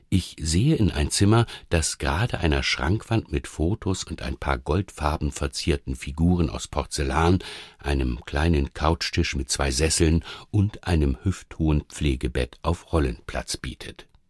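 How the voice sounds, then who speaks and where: A man's very deep, low voice with vocal fry, fairly slow, with ordinary pitch variation, in a dry, close sound with no echo. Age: 50s. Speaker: radio feature author. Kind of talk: scripted narration.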